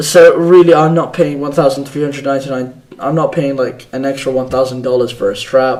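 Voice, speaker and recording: Against noticeable background noise, a man talks at a fairly quick pace with hardly any pauses, using a fairly high pitch and fairly even intonation. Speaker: tech podcast host. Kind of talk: solo tech podcast. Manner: fast; casual.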